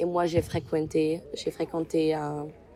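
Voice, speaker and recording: A woman talks over noticeable background noise. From Germany, Mainz. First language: German (speaking French). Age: 20s. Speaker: university student. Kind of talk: interview. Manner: halting.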